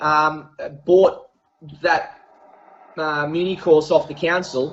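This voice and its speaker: Speaking very slowly in an Australian accent, a man keeps a monotone, flat intonation at a fairly high pitch. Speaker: golf professional and coach. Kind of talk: casual interview. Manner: many fillers and hesitations.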